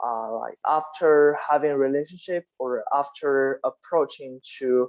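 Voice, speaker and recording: The speaker talks at a very slow pace. A non-native accent comes through. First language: not English. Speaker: class discussion leader. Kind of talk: book club discussion. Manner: halting.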